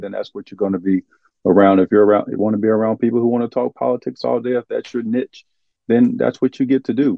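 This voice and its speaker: A man talks at a very fast pace in an Arkansas accent. His pitch sits at a medium level. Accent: Southern US (Arkansas). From US South, eastern Arkansas. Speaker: former pro basketball player, nonprofit founder. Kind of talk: interview.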